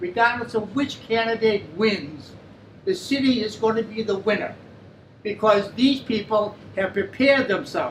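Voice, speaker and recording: The speaker has an American accent and ordinary pitch variation, moving at a moderate pace. Noticeable background noise runs underneath. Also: man, high pitch for a man. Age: 80s+. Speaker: former mayor. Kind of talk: audience remarks. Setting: forum in a pub.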